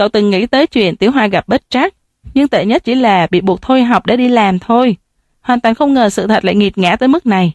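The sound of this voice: An unforced reading voice, ordinary pitch variation and a quiet background.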